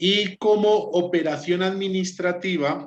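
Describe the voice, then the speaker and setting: This is a man speaking. His pitch is high. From Spain. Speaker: law student. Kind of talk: class presentation.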